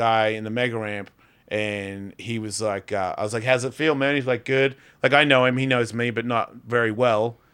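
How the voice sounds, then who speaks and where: In a very clean recording with a silent background, a man with an Australian accent talks fairly quickly at a medium pitch, his intonation fairly even. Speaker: podcast host and comedian. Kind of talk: casual chat. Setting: studio.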